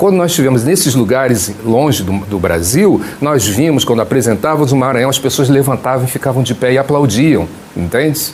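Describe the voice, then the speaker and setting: Against noticeable background noise, a man talks at a fairly quick pace with lively intonation, medium pitch and very even loudness. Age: 60s. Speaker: political candidate and pastor. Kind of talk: TV interview.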